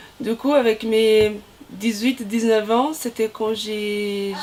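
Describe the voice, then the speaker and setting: Noticeable background noise sits behind a woman speaking at a very slow pace. Her pitch is fairly high and her intonation monotone and flat. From Brazil. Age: 30s. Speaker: volleyball player, team captain. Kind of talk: interview. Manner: halting, many hesitations.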